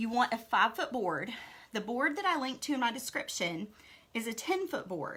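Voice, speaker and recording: A woman speaks in a normal speaking voice, her pitch fairly high and her pace moderate. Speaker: craft tutorial host. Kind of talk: tutorial.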